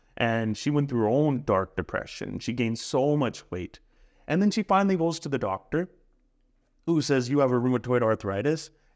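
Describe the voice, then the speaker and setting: In an ordinary speaking voice of medium pitch, a man talks at a moderate pace with lively intonation against a quiet background. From Punjab, India and British Columbia, Canada. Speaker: life coach and podcast host. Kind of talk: casual coaching conversation.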